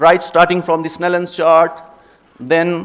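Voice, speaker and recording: Here is a man in a Pashto accent. His voice sits high in pitch. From Khyber Pakhtunkhwa, Pakistan. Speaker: optometry speaker. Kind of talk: conference presentation.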